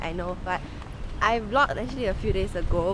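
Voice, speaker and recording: A woman speaks at a fairly quick pace, the sound dry with no echo but with noticeable background noise. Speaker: vlogger. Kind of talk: casual vlog chat. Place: street. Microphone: phone near.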